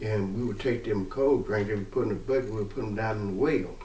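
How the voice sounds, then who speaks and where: A man's voice comes out somewhat breathy, and audible room echo surrounds it. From US South, Mississippi. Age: 60s. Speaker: family storyteller. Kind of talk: personal testimony. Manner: halting.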